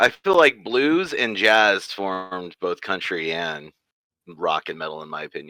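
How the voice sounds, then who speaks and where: A man with a slight Midwestern accent speaks fairly slowly at a fairly low pitch, in a bright, sharp tone. His pitch swings very widely, and the sound is dry and close with no echo. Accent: slight Midwest twang. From US Midwest. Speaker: musician. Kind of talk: casual chat. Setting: video call.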